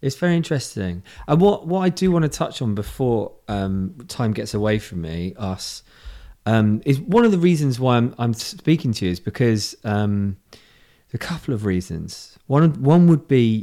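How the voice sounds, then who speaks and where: This voice carries a British accent, a dark, mellow tone and very wide pitch swings. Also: man. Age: 40s. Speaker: podcast host. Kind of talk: casual chat. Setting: video call. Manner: animated.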